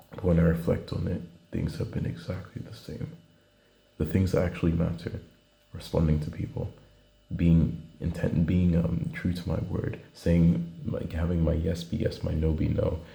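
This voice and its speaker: Quiet and moderate in pace, a man speaks at a very deep, low pitch with fairly even intonation, amid audible room echo and noticeable background noise. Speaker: student video diarist. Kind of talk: video diary monologue. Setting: indoors at night, traveling. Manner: halting.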